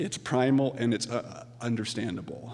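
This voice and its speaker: There is audible room echo and noticeable background noise. Through it, a man speaks at a medium pitch. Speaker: accepting award on author's behalf. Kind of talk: award acceptance speech. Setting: stage with audience. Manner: halting.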